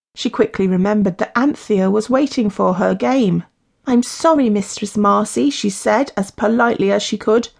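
Lively intonation marks this plain reading aloud. Behind it, the background stays quiet.

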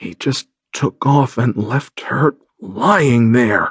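Putting on a raspy character voice, a man talks at a very slow pace in a medium pitch with lively intonation.

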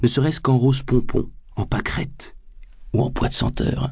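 A man's dark, mellow voice at a fairly slow pace. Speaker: audiobook narrator. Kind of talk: dramatic audiobook narration. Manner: animated, sardonic.

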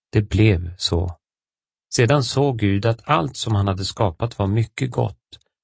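A man's somewhat breathy, fairly low voice, very slow in pace and solemn in tone. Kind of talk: audiobook narration of scripture, reading aloud. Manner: formal, measured; steady, solemn reading pace.

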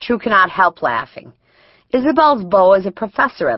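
With lively intonation, a natural reading voice carries over a quiet background.

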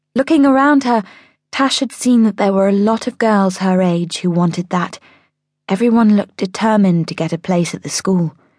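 In a quiet background, a woman talks with ordinary pitch variation at a medium pitch. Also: moderate pace. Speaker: audiobook narrator. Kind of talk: audiobook narration of a children's story, dramatic. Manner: dramatic, expressive storytelling.

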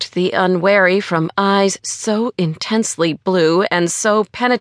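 This is a natural reading voice. The text is read aloud in that manner.

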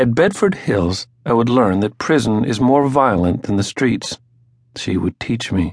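This is an unremarkable speaking voice. Its intonation is lively. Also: man. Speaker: audiobook narrator. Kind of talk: audiobook narration, reading a nonfiction memoir aloud. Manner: measured, formal, steady literary pacing; reflective, solemn tone.

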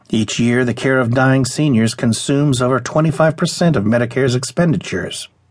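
A man speaks in a plain, everyday voice at medium pitch with ordinary pitch variation. His pace is moderate and his loudness very even. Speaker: audiobook narrator. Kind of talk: audiobook reading of a news article, scripted narration. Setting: studio. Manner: formal, even, measured; clear and steady, informative, neutral.

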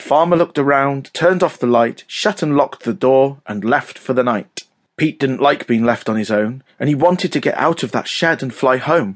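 At a moderate pace, a man with a British accent speaks in a fairly high pitch with ordinary pitch variation and a dramatic, playful tone. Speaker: audiobook narrator. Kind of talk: scripted children's audiobook narration, read aloud in rhyming verse. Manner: dramatic, sing-song storyteller cadence with playful emphasis on the rhymes; animated and expressive, suited for young children.

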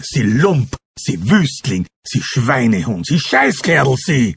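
At a very slow pace, a man with a fairly high pitch and vocal fry speaks with lively intonation. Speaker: audiobook narrator. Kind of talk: dramatic audiobook narration, first-person. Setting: audiobook recording. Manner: intense, emotionally charged.

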